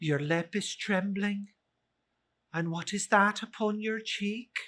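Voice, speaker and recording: A female-sounding put-on character voice at medium pitch for a woman moves along at a fairly slow pace. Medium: read story. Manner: solemn, measured.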